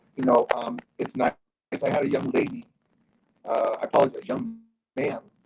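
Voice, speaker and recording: A man speaks at a moderate pace with long, frequent pauses. The sound is dry and close, with no echo. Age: 60s. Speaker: actor and retired casino executive. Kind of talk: interview panel. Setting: video call.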